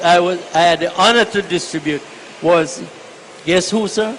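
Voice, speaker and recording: Against noticeable background noise, a man speaks at a fairly slow pace in a high pitch, his intonation fairly even. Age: 80s+. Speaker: retired army sergeant, war-era veteran. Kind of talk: radio interview answer.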